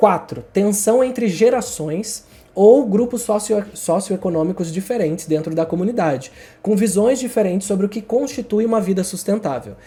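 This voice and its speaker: Against noticeable background noise, a man talks at a fairly quick pace in a high voice. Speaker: writing YouTuber. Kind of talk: casual tutorial monologue. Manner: fast.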